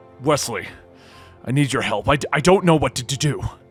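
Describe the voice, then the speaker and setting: A man does a put-on character voice, quiet and raspy, fairly high in pitch with ordinary pitch variation. He talks at a fairly quick pace over faint music in the background. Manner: stammering, halting.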